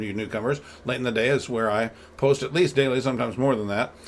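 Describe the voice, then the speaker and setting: A man talks at a very fast pace with ordinary pitch variation. Noticeable background noise runs under his speech. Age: 60s. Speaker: political podcast co-host and blogger. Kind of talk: casual political discussion. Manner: halting, many repetitions and fillers.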